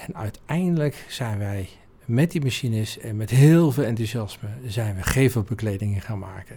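On a very clean recording with a silent background, a man speaks at a medium pitch and moderate pace, somewhat breathy, with a dark, mellow tone and lively intonation. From Netherlands, North Brabant (Oudheusden). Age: 50s. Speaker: business owner. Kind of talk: interview. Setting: office.

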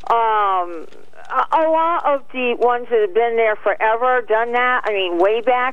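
A woman in an ordinary speaking voice, fairly high in pitch, with lively intonation and very even loudness. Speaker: caller. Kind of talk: casual chat. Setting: phone call.

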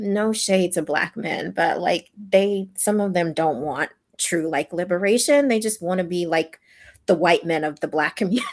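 A woman's unremarkable speaking voice with an American accent, fairly low in pitch, with ordinary pitch variation at a moderate pace. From US South, Louisiana. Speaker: podcast host, sex therapist. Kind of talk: casual chat.

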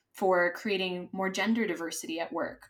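Medium-pitched woman at a moderate pace with an American accent. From US, Los Angeles, California. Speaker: DEI consultant. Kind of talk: interview conversation. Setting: remote recording from Madrid.

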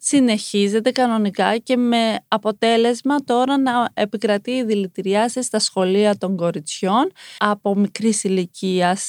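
A woman with a fairly high pitch talks in a normal speaking voice at a fairly slow pace. The recording is very clean with a silent background, and her loudness stays very even. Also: ordinary pitch variation. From Iran, raised in Greece from age 5. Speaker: former TV model contestant, activist voice. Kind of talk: interview.

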